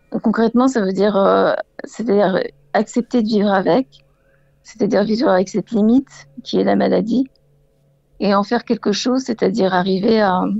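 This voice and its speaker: Vocal fry marks this woman's medium-pitched voice as she talks at a moderate pace. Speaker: caller living with Parkinson's disease. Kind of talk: radio call-in testimony. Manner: halting, many hesitations.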